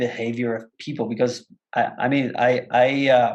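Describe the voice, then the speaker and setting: A man speaks with a Mexican accent at a moderate pace. His pitch is medium and his intonation fairly even. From Mexico, Monterrey. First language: Spanish. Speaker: actor and entrepreneur. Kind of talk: podcast interview. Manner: repetitive stammering on words.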